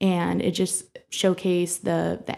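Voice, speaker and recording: Speaking at a very slow pace, a woman has a Midwestern American accent. Her intonation is monotone and flat. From Bowling Green, Ohio. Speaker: director of a young professionals networking group. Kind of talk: interview.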